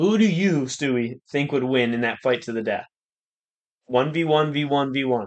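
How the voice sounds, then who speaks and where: An unremarkable speaking voice moves at a fairly slow pace. Its pitch variation is ordinary. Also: man, fairly high pitch for a man. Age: young. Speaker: guest. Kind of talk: casual chat.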